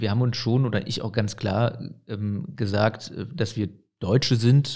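A man's somewhat breathy voice of medium pitch, dark and mellow in tone, with fairly even intonation on a very clean recording over a silent background. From Aachen, western Germany. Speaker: mayor. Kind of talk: interview.

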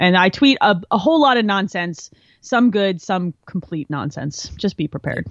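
A woman with an American accent, medium in pitch, at a moderate pace, with very wide pitch swings. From New Jersey, near Philadelphia. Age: 30s. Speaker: engineer and gamer. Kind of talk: casual chat. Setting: video call.

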